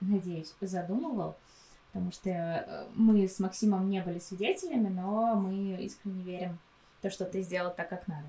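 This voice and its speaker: A woman talks at a fairly slow pace. Her pitch is medium and her intonation fairly even. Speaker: host's fiancée. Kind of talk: casual chat.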